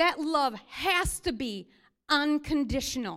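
In a very clean recording with a silent background, a woman speaks at a fairly slow pace with a bright, sharp tone. Her voice is animated, with very wide pitch swings. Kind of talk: sermon. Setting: church. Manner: loud.

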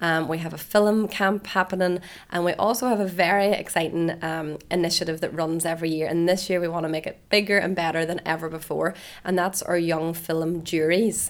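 Speaking in a Northern Irish accent, a woman with a fairly low pitch talks at a fairly quick pace. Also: fairly even intonation. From Northern Ireland. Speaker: festival press officer. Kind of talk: interview.

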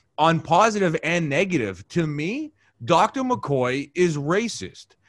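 The speech goes very slowly. Its pitch swings very widely. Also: man. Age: 30s. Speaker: podcast host and former stand-up comedian. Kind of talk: casual chat.

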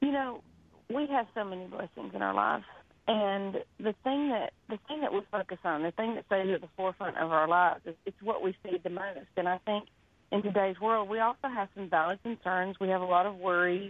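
With a Southern US accent, a woman talks at a fairly quick pace, her medium pitch rising and falling in an ordinary way. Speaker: cookbook author. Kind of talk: radio interview.

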